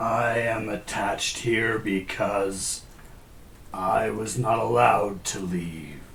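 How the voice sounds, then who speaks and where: A man speaks very slowly in a put-on character voice that is raspy and fairly low-pitched, with clear background noise behind him. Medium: actual play. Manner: solemn, terse.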